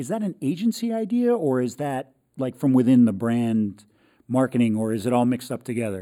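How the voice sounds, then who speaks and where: A man speaks in an ordinary speaking voice at a medium pitch. He goes at a fairly quick pace with ordinary pitch variation. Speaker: podcast host and copywriter. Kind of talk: podcast interview.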